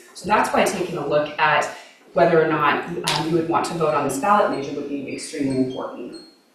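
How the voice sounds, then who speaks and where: There's an audible echo of the room around this woman's voice. Background noise is also noticeable throughout. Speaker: mayoral candidate and city councilor. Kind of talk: candidate forum answer. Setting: live public forum with audience. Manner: fast.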